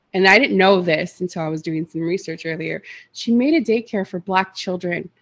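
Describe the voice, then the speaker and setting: The speech has a fairly quick pace and ordinary pitch variation. The background is quiet. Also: woman. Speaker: podcast co-host. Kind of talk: casual podcast discussion, partly reading notes. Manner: halting, stumbles while reading.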